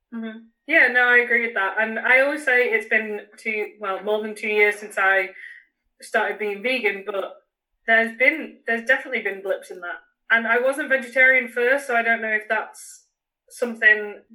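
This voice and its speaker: A woman with a northern English accent speaks at a moderate pace with fairly even intonation. Her fairly high voice has a bright, sharp tone. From northern England. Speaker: runner. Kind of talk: casual chat. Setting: video call.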